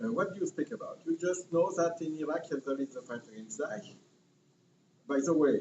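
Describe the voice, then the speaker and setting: A man's high pitch in very wide swings, with noticeable background noise. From France. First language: French. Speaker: panel speaker at activist conference. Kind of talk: conference talk. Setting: conference with audience. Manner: halting, many fillers.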